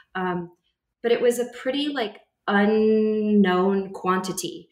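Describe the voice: In an American accent, a woman talks with fairly even intonation amid audible room echo.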